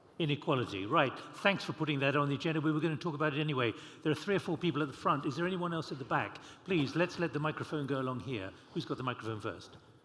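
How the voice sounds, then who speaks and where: Ordinary pitch variation marks this man's very fast delivery. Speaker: panel moderator. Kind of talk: moderating panel Q&A. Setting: conference hall with audience. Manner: informal.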